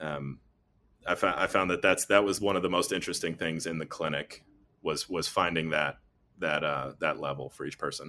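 A man with an American accent and a very deep, low voice speaks at a moderate pace in a bright, sharp tone, with fairly even intonation. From North Carolina. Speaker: athletic trainer and physical therapist. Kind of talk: interview. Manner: hesitant, many fillers and restarts.

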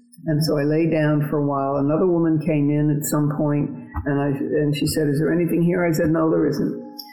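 A woman's very deep, low voice with fairly even intonation and very even loudness, music in the background. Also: fairly quick pace. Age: 80s. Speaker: retired marathon champion. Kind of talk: interview, recounting personal story.

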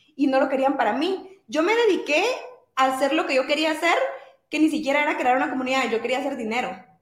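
A woman with a Guatemalan accent speaks at a very fast pace and high pitch. Her intonation is lively, and audible room echo surrounds her voice. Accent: Guatemalan Spanish with voseo. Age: 20s. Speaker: entrepreneur. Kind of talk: interview. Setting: live stream.

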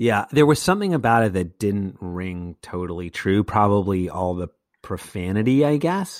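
With lively intonation and a fairly low pitch, a man talks at a moderate pace in a normal speaking voice on a very clean recording with a silent background. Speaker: podcast host. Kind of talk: casual chat. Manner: bantering.

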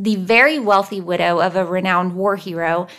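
Here is a natural reading voice with fairly even intonation.

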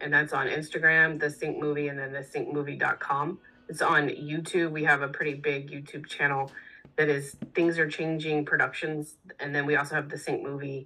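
A woman speaks in a very deep, low voice with an American accent. Her intonation stays flat and monotone. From Texas. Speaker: musician. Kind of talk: casual chat.

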